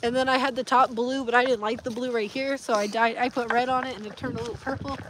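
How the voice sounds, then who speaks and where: Over noticeable background noise, a woman talks very fast in a high voice with fairly even intonation. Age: 20s. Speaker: vlogger. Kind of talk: casual chat. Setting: outdoors.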